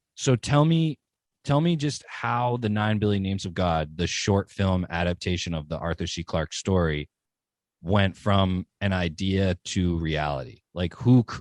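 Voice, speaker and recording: A man with an American accent has a plain, everyday voice, fairly low in pitch with lively intonation at a moderate pace. The recording sounds dry and close with no echo, and the background is quiet. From New Hampshire, US. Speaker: podcast host. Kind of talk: interview.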